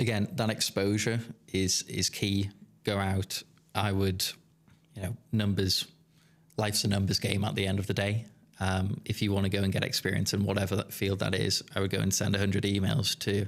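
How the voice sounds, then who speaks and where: Speaking with a slight Geordie accent, a man of fairly low pitch keeps a fairly quick pace and very even loudness. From northeast England, Newcastle. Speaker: business founder. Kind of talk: podcast interview. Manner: hesitant, many fillers.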